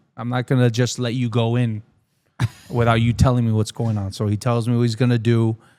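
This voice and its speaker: A man at a medium pitch, dark and mellow in tone, flat and monotone, at a fairly quick pace. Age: 30s. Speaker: sports podcast host. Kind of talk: casual chat. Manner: halting.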